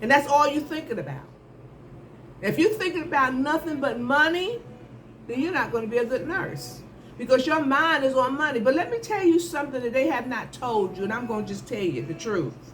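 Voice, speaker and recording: A woman speaks at a high pitch and a fairly quick pace in an animated tone with very wide pitch swings. Noticeable background noise and audible room echo are present. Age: 70s. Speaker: nurse. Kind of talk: advice monologue.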